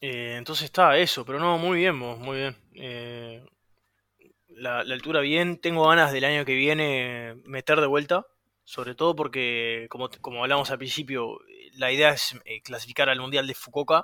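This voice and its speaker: Speaking with a Uruguayan accent, a man uses a fairly high pitch and a bright, sharp tone at a moderate pace with fairly even intonation. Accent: Uruguayan Rioplatense Spanish. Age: 20s. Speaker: competitive swimmer. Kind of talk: casual chat.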